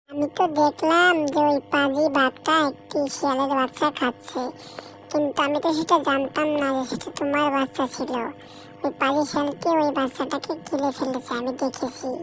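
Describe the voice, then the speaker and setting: A high, cartoonish character voice talks at a moderate pace. Clear background noise runs underneath. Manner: rhyming, self-praising.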